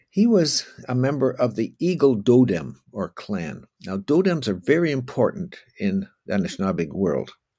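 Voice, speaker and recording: A man with a Canadian accent, a dark, mellow tone and vocal fry, very wide pitch swings, at a moderate pace. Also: medium pitch for a man. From Canada, Ontario (Oakville). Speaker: historian. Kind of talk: lecture. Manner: halting.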